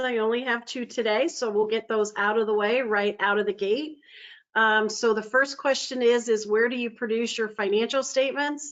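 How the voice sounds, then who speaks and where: With a slight Pittsburgh accent, a woman speaks at a moderate pace and a fairly high pitch. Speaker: user group host. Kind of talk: webinar introduction. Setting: webinar.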